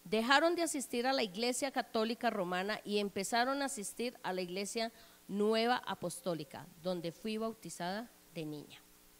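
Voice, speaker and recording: Lively in intonation, a woman with an unremarkable speaking voice talks at a moderate pace and a fairly high pitch. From Colombia, Bogotá. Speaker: church member giving testimony. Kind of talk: testimony. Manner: formal.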